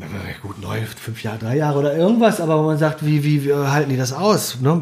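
A man with a fairly high pitch speaks fairly quickly while noticeable background noise plays. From Germany, moved around (Bremen area, Lüneburger Heide, Sauerland). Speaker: food and wine writer, former restaurateur. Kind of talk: casual chat. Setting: at guest's kitchen table. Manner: animated.

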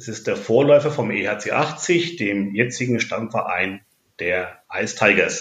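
At a very slow pace, a man with a medium pitch speaks with lively intonation and big swings in loudness. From Franconia, Bavaria (Nuremberg). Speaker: ice hockey fan representative. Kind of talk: interview. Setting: at home.

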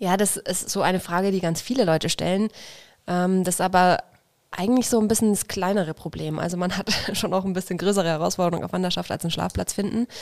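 Very fast speech from a woman, fairly even in intonation. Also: medium pitch for a woman. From Franconia, Bavaria (near Nuremberg). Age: 30s. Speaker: journeyman butcher on traditional travels. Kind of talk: casual interview.

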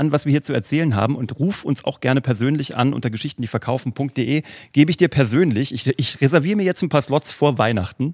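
Over a very clean recording with a silent background and a dry, close sound with no echo, a man talks very fast at a medium pitch with lively intonation. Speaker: storytelling consultant and podcast host. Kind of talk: angry rant about storytelling and marketing. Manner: heated, fast, worked up; emphatic, animated, forceful.

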